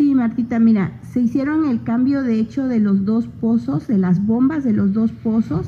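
This woman has a fairly high pitch and a normal speaking voice. She speaks at a fairly slow pace with ordinary pitch variation. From Oaxaca, Mexico (Isthmus of Tehuantepec). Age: 30s. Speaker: local political candidate, agronomist. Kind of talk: radio interview. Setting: radio studio.

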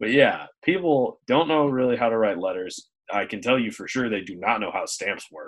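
A man speaks in a plain, everyday voice at medium pitch and a moderate pace. His intonation is lively, his loudness swings widely, and he hardly pauses. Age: 20s. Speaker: podcast co-host. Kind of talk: casual chat. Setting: video call.

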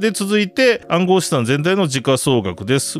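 A man speaks over noticeable background noise. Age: 40s. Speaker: podcast host, web3 media editor. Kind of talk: casual news discussion.

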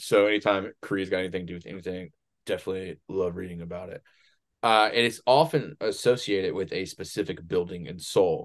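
A normal speaking voice with ordinary pitch variation moves at a fairly quick pace. The background is quiet. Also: man, fairly low pitch for a man. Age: 30s. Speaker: podcast co-host and Etsy shop owner. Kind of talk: casual chat. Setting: home recording.

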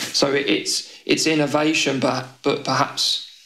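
With a British accent, a man speaks at a very slow pace amid audible room echo. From UK. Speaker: tech policy consultant. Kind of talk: interview.

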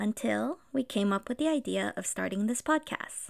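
A fairly high-pitched woman at a fairly quick pace, in a very clean recording with a silent background and a dry, close sound with no echo. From Los Angeles, US (immigrated from the Philippines at five). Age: 30s. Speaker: podcast co-host. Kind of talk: casual podcast intro, partly scripted.

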